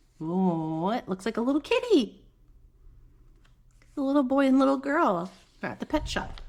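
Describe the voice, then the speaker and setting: A woman's high voice, fairly slow, with very wide pitch swings. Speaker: mother. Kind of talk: children's picture book read-aloud. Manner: soft-spoken, gentle, calm.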